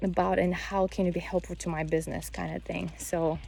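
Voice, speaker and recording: A woman with a Bulgarian accent speaks at a fairly slow pace. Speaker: vlogger, mother and English teacher. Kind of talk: casual vlog monologue. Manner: halting, with frequent self-corrections.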